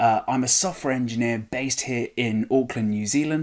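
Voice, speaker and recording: A man with a British accent speaks at a fairly quick pace and medium pitch. The recording is very clean, with a silent background. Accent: British accent, retained. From UK. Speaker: software engineer, conference speaker. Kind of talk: recorded conference talk. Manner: casual, with frequent fillers.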